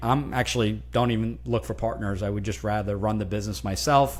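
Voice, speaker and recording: At a very fast pace, a man speaks with a fairly low pitch, and the room echo is audible. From New Jersey, US, Italian immigrant family. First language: Italian. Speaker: franchise consultant. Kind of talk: interview. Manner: halting, many repetitions and fillers.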